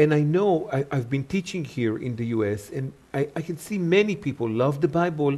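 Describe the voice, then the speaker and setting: Hardly pausing, a man talks at a moderate pace with lively intonation and a fairly high pitch. His tone is dark and mellow, and somewhat breathy. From Israel. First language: Hebrew. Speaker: Hebrew Bible teacher. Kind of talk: interview.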